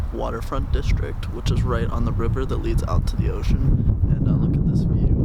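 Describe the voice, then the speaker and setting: Moderate-paced speech in an American accent with audible room echo and noticeable background noise. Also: man. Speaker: travel vlogger. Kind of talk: casual vlog narration. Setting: outdoors walking. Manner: hesitant, many fillers.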